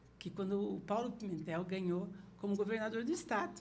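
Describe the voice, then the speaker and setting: At a medium pitch and moderate pace, a woman speaks with ordinary pitch variation through noticeable background noise and audible room echo. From Paraná, Brazil (Porecatu, then Curitiba). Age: 60s. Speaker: political party leader and hotel CEO. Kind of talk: podcast interview.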